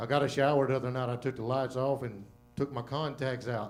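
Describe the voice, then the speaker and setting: A man talks at a fairly quick pace in a medium pitch with monotone, flat intonation. Music plays in the background, and the room has an audible echo. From Louisiana. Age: old. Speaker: comedian. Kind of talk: stand-up. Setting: stage with audience.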